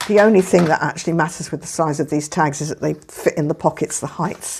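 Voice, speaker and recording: The speaker is a woman with an English accent. She talks at a fairly quick clip. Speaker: papercraft youtuber. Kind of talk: tutorial. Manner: casual, hesitant with fillers.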